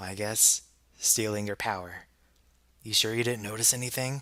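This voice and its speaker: A man's gruff, put-on character voice at medium pitch, with fairly even intonation and a moderate pace. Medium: read story. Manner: gruff, offhand.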